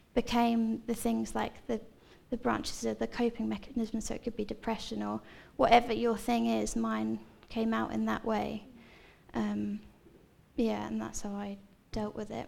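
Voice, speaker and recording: A woman in a southern English accent, moderate pace with long, frequent pauses, on a very clean recording against a silent background. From Seaford, East Sussex, southern England. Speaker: church member sharing life story. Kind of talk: testimony. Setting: church stage with audience.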